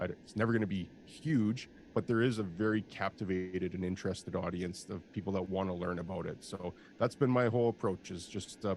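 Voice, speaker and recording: A man with a Canadian accent and a plain, everyday voice, at a fairly quick pace with fairly even intonation. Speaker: industrial real estate broker and video host. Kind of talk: interview.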